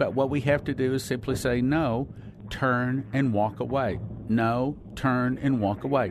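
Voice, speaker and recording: An ordinary speaking voice, a man's medium pitch at a fairly slow pace. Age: 60s. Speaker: preacher. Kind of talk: sermon.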